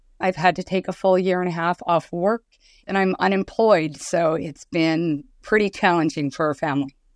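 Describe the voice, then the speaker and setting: A woman speaks at a fairly low pitch and a moderate pace, with fairly even intonation. The sound is dry and close with no echo, on a very clean recording with a silent background. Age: 40s. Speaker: breast cancer patient advocate. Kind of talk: interview.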